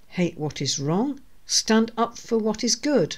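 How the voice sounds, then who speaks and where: Pitch swings very widely as the voice carries over a quiet background. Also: woman. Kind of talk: scripture reading. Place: home room. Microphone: studio mic.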